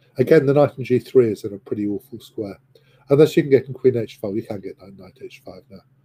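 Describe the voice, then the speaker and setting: Using an English accent, a man with a dark, mellow tone and medium pitch speaks at a fairly quick pace, with ordinary pitch variation and big swings in loudness. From England. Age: 60s. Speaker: chess commentator. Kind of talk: live commentary. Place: home room. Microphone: video call.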